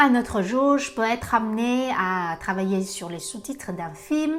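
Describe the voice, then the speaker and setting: A woman speaks in a Vietnamese accent with a fairly high pitch and lively intonation. Music plays in the background. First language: Vietnamese (speaking French). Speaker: translator-interpreter. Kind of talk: self-presentation video. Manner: hesitant with frequent fillers.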